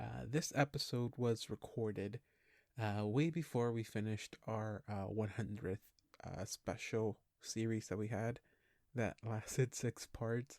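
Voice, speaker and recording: A man speaks quietly at a medium pitch and a fairly slow pace, with ordinary pitch variation and a dry, close sound that has no echo. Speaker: podcast host. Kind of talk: casual podcast intro. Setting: at home, past midnight. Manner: quiet, hushed; hesitant, many fillers.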